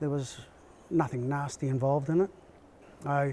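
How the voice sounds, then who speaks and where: A man with an Australian accent has a fairly high pitch. His intonation stays fairly even. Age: 70s. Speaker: army veteran. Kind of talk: interview answer.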